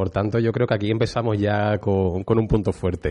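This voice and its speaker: The voice has a dark, mellow tone. It moves at a moderate pace with fairly even intonation. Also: man. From Utrera, Andalusia, Spain. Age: 30s. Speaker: art historian. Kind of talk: interview.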